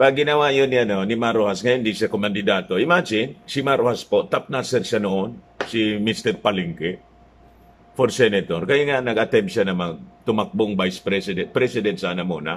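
Speaking at a fairly quick pace, a man with a fairly low pitch uses lively intonation. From Philippines. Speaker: political vlogger. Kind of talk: news commentary. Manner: casual, halting with fillers. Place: home room. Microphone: phone near.

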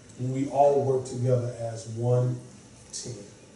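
With audible room echo, a man speaks at a fairly slow pace and medium pitch in a dark, mellow tone.

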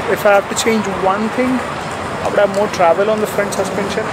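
A man is speaking. Loud background noise runs underneath him. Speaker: motorcycle reviewer. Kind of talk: casual vlog chat. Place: street. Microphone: phone near.

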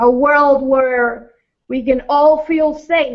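Over a quiet background, a woman speaks at a very slow pace. Her pitch is high, with ordinary variation. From Latin American heritage. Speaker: pastor. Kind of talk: fervent spoken prayer for mass-shooting victims. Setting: online multifaith vigil gathering. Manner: hesitant, repeating words before the prayer; impassioned, rhythmic repetition during prayer. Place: studio.

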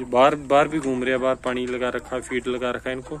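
A man at a medium pitch, fast pace and little pitch movement

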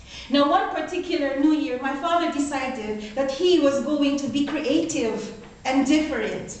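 A woman speaks in a high pitch, with audible room echo. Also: ordinary pitch variation, moderate pace. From Philippines. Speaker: toastmaster club speaker. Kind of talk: prepared speech. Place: meeting room. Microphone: camera far.

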